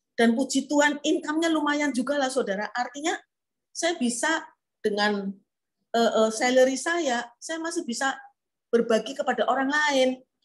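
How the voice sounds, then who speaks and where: A woman talks with a high pitch, ordinary pitch variation, and a moderate pace. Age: 70s. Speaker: preacher. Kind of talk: sermon. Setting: online church service.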